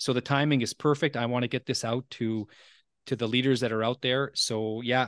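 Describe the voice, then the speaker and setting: A man speaks at a fairly quick pace with fairly even intonation, in a dry, close sound with no echo against a quiet background. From Ontario, Canada (Franco-Ontarian). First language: French. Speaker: podcast host and leadership coach. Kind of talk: casual interview. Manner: halting, with many repeated words.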